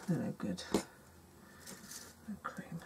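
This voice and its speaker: Mumbling in a British accent, a woman talks over noticeable background noise. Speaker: craft youtuber. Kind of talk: tutorial. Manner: mumbling to herself; hesitant, many fillers.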